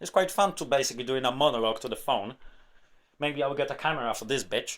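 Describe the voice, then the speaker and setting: A non-native accent on a very clean recording with a silent background. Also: man. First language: not English. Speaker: tech YouTuber. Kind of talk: rant monologue. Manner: animated.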